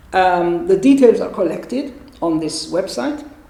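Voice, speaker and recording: A woman at a moderate pace with very wide pitch swings, amid audible room echo and noticeable background noise. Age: 60s. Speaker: gynecologist. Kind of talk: interview. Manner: halting.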